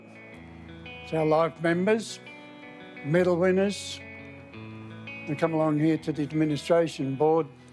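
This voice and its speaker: Music is heard in the background. The talking goes at a very slow pace. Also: man. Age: old. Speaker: retired football club president. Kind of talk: documentary interview.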